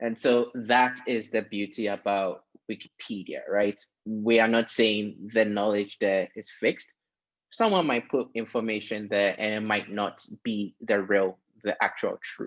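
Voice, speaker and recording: Against a quiet background, a man speaks at a fairly slow pace, with a fairly low pitch and fairly even intonation. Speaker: foundation staff member; panelist. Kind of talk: webinar panel discussion. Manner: hesitant, many fillers. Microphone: video call.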